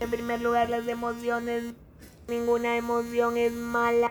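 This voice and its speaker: Speaking very slowly, a woman uses a fairly high pitch. Her pace stays very slow throughout. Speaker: motivational coach and speaker. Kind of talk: casual chat.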